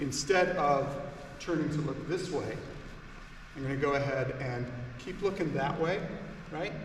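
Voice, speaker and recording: A man keeps a moderate pace while noticeable background noise and audible room echo surround his voice. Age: 60s. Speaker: martial arts instructor. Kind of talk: instructional demonstration. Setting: seminar in training hall.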